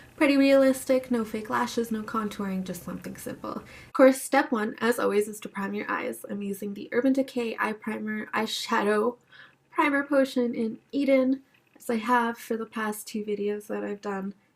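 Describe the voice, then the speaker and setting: Somewhat breathy and fairly high-pitched, a woman speaks at a moderate pace with fairly even intonation and big swings in loudness. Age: 20s. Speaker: beauty vlogger. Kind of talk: makeup tutorial. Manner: casual, conversational.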